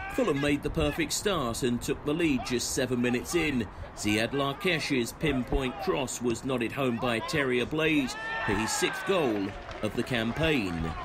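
A man talks at a fairly slow pace in a fairly high voice, his loudness very even. His intonation is lively, and background noise is noticeable. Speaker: club highlights commentator. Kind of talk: sports commentary, match highlights voiceover. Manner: brisk, energetic.

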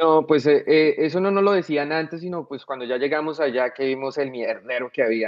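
A man with a fairly high voice speaks at a moderate pace with hardly any pauses and ordinary pitch variation, over a quiet background. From Colombia, Bogotá. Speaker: soldier, war veteran; podcast guest. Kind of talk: casual interview. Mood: relaxed, storytelling. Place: home room. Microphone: video call.

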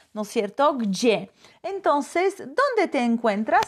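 Against a quiet background, a woman with a Polish accent speaks at a high pitch with very wide pitch swings. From Poland. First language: Polish (speaking Spanish). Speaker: language teacher. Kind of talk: live online class. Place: home room. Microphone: phone near.

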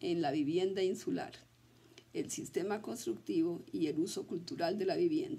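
Very wide pitch swings run through a woman's dark, mellow voice as she speaks at a moderate pace. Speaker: university professor. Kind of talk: lecture. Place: office. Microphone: webcam.

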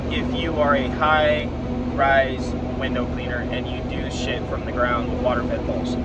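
Loud background noise surrounds a man talking at a fairly slow pace. The sound itself is dry, with no echo. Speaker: coach. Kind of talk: casual vlog chat. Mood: frank, mildly frustrated. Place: car. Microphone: earbuds.

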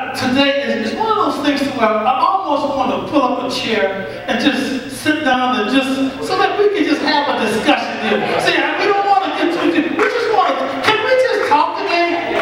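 Over loud background noise and audible room echo, a man speaks at a moderate pace with hardly any pauses. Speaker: pastor. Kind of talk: sermon. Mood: relaxed, humorous storytelling. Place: church.

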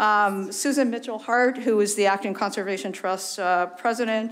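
The woman's intonation is fairly even. Her voice sits at a medium pitch. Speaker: town committee presenter. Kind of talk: public presentation. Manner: fast.

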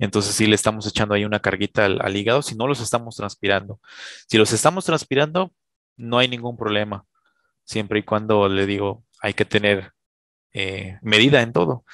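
At a fairly quick pace and with ordinary pitch variation, the voice sounds dry with no echo against a quiet background. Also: man, fairly low pitch for a man. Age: 20s. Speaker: chemist; guest. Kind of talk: casual chat. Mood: friendly, smiling explanatory. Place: home room. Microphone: headset.

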